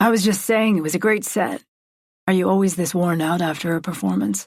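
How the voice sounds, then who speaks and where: A woman puts on a raspy character voice at medium pitch, talking at a fairly quick pace with very even loudness in a very clean recording over a silent background. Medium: read story. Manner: soft-spoken, careful.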